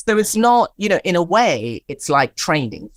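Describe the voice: A woman's fairly low voice with big pitch swings, at a moderate pace, in a dry, close sound with no echo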